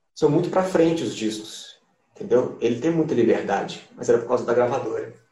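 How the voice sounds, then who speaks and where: A man talks at a fairly high pitch, and audible room echo can be heard around his voice. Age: 20s. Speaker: musician. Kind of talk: casual interview. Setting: on camera.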